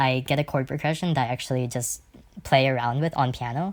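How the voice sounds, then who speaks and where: A woman with a very deep, low pitch, on a very clean recording with a silent background. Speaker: amateur composer. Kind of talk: casual screen-recorded tutorial. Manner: fast; casual, rambling with fillers.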